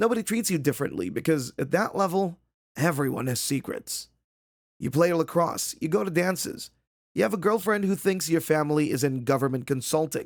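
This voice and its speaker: Raspy, fairly high-pitched put-on character voice from a man at a fairly quick pace. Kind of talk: dark second-person POV narration. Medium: read story. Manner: measured, ominous.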